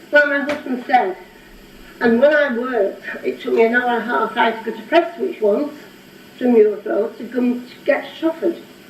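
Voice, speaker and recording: A shaky, high-pitched woman at a moderate pace with ordinary pitch variation, amid audible room echo and noticeable background noise. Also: big swings in loudness. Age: 80s+. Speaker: local resident objector. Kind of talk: public comment at council meeting. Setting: council meeting room. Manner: trembling, emotional.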